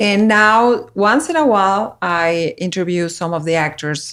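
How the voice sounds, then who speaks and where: The recording is very clean, with a silent background. The speaker has a Mexican accent and lively intonation. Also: woman. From Mexico, Monterrey. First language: Spanish. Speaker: reporter and filmmaker. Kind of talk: casual interview chat. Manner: halting, with fillers.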